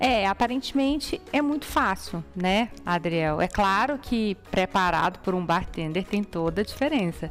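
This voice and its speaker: Over music in the background, a woman talks with hardly any pauses. Her pitch swings very widely while her loudness stays very even. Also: medium pitch for a woman, fairly slow pace. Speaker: TV program host. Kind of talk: casual interview.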